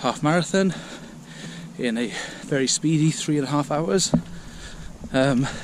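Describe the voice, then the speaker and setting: Recorded dry with no echo but with noticeable background noise, a man talks at a fairly slow pace with ordinary pitch variation. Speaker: runner vlogger. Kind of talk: casual vlog chat.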